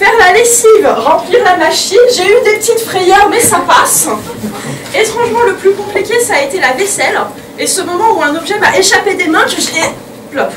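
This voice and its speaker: Over noticeable background noise, a woman with an extremely high pitch speaks at a moderate pace in an animated tone with lively intonation. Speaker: comedian. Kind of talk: stand-up comedy. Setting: stage with live audience in a cabaret. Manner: animated, cheeky, raunchy storytelling. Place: stage. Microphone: camera far.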